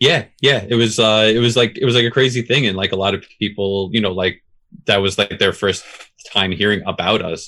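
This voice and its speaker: A man moves through his words at a fairly quick pace, keeping his intonation fairly even. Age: 30s. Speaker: drummer in hardcore and metal bands. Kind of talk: casual interview chat.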